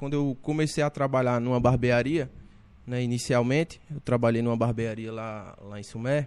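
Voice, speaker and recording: A man with a plain, everyday voice speaks at a moderate pace in a medium pitch, with fairly even intonation but big swings in loudness. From Brazilian Northeast, Paraíba interior. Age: 20s. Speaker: barber and entrepreneur. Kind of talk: casual interview chat.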